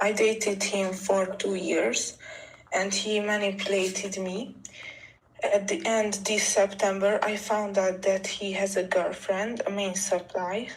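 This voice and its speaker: In a Hungarian accent, a woman speaks at a fairly slow pace with monotone, flat intonation. Audible room echo and noticeable background noise fill the recording. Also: medium pitch for a woman. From Hungary. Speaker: caller seeking relationship advice. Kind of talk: personal story told on a call. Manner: halting, with hesitations.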